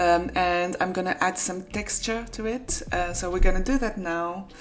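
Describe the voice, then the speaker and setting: A woman with a French accent at a medium pitch and moderate pace, fairly even intonation, and noticeable background noise. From France. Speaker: freelance graphic designer. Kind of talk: casual vlog tutorial. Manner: hesitant, with fillers.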